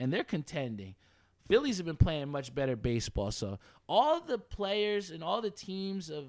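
An animated tone carries the speech at a moderate pace. The recording is very clean, with a silent background. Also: man. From New Jersey (Edison). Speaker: sports podcast host. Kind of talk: casual sports talk.

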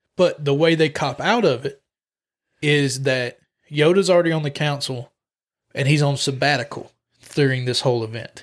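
At a moderate pace, a man with a fairly high pitch talks with long, frequent pauses. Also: ordinary pitch variation. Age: 20s. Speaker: comic book podcast co-host. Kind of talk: casual chat.

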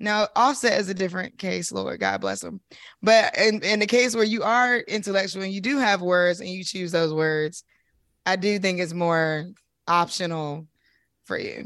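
Against a quiet background, a woman with an American accent speaks at a moderate pace. She has an ordinary speaking voice with ordinary pitch variation. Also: medium pitch for a woman. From US South. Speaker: co-host and author. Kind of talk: casual chat.

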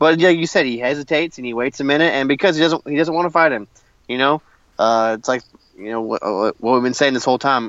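Talking at a fairly quick pace, a man keeps a medium pitch with ordinary pitch variation. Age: 30s. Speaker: wrestling podcast co-host. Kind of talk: casual chat. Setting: in a car.

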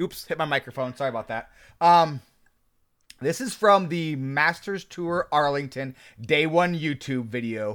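A man's fairly high, normal speaking voice, with ordinary pitch variation and a fairly slow pace, in a very clean recording with a silent background. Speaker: podcast co-host. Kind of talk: casual chat.

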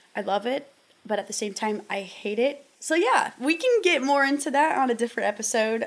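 With ordinary pitch variation, this woman talks in an American accent. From US Midwest, southern Iowa. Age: 20s. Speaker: podcast host and outdoors influencer. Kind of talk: casual solo podcast talk. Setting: in front of a camera.

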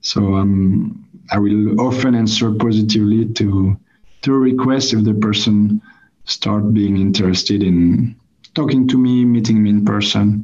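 A man with a French accent speaks at a fairly low pitch. His intonation is fairly even and his loudness very even. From France. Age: 20s. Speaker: marketing brand manager. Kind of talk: interview. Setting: call. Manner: halting.

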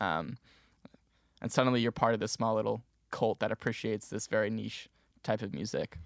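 A man's fairly low voice with vocal fry and fairly even intonation, a fairly quick pace broken by long, frequent pauses, and a dry, close sound with no echo in a very clean recording over a silent background. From New Jersey. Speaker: music business student and podcast producer. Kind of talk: casual interview.

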